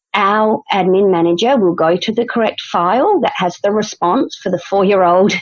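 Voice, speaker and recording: A woman with an Australian accent talks at a moderate pace and medium pitch, with ordinary pitch variation and very even loudness. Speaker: dance studio owner, podcast co-host. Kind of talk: casual chat.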